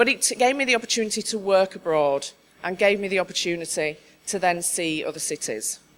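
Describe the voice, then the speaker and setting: Here a woman speaks with a Yorkshire accent at medium pitch. Her intonation is lively and her pace fairly quick. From Yorkshire, northern England. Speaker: conference speaker, diversity adviser. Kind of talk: conference talk.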